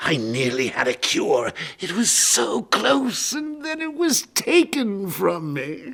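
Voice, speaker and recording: A man in a put-on character voice with a playful, theatrical tone. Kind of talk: theatrical villain showmanship. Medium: video game. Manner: mocking, playful, theatrical.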